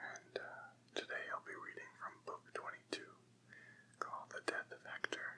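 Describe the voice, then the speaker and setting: A man is whispering. He keeps a moderate pace. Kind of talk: casual intro to listener. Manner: whispered, soft-spoken.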